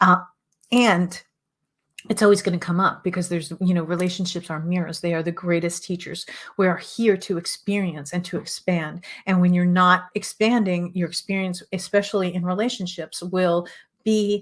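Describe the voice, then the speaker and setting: At a moderate pace, a woman talks at a medium pitch with flat, monotone intonation. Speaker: relationship coach and show host. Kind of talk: teaching monologue.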